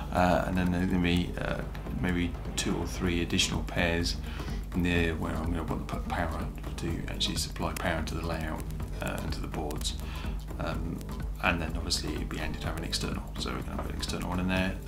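A male voice talks fairly quickly. Clear music can be heard behind him. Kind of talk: casual vlog chat. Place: home room. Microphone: phone near.

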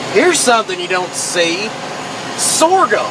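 The speech unfolds at a fairly slow pace, with noticeable background noise present. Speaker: tractor driver. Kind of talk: casual vlog commentary. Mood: curious, relaxed. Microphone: phone near.

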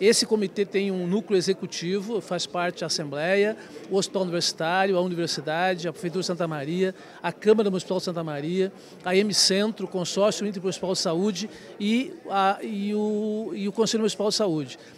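Over light background noise, a man with a high pitch speaks with fairly even intonation. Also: dry sound with no echo. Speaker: regional committee leader. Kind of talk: news interview. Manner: halting, repeats words. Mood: earnest, advocating. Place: hall. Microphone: handheld.

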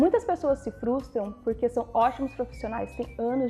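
With faint music in the background, a woman with a high pitch speaks at a moderate pace using ordinary pitch variation. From Brazil. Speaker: vlogger. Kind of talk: casual advice vlog. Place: home room. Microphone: lapel.

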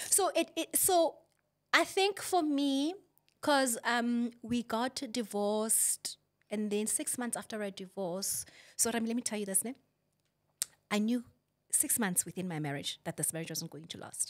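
A woman at fairly high pitch, very wide pitch swings, moderate pace and long, frequent pauses, against a quiet background. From South Africa, Rustenburg and Johannesburg; South Africa. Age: 40s. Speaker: author and mother; podcast guest. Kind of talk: interview about personal life. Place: studio. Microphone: studio mic.

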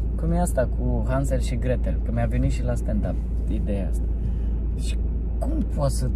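Recorded dry with no echo, a man's voice comes through over loud background noise. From Romania. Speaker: stand-up comedian. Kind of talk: casual chat. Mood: joking, playful. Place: car. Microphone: phone near.

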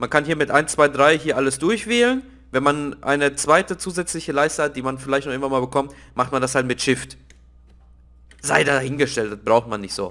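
Bright and sharp in tone, a man's fairly high voice moves at a fairly quick pace with ordinary pitch variation, in a very clean recording with a silent background. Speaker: gaming video creator. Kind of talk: let's play commentary. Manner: hesitant, many filler sounds.

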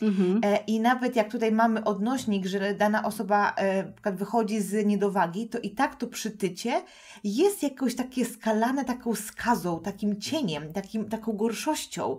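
A woman with a fairly high voice talks at an even, middling speed, a little breathy, her pitch moving in a normal way. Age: 30s. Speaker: podcast host and nutrition coach. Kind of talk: casual interview chat.

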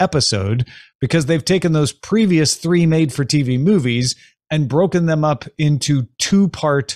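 A man speaks at a very even loudness in a somewhat breathy voice, with ordinary pitch variation, a dry sound with no echo and a quiet background. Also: fairly slow pace. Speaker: podcast host. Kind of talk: commentary. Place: home room. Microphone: studio mic.

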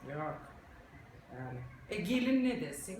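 Over noticeable background noise, a woman speaks with an Aegean accent. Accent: Aegean Turkish dialect. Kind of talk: comedic monologue to camera.

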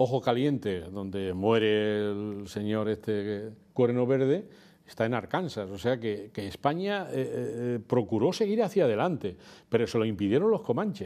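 Set against a quiet background, a man's dark, mellow voice moves at a fairly slow pace with ordinary pitch variation. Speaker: guest. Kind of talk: interview answer. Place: studio. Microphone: lapel.

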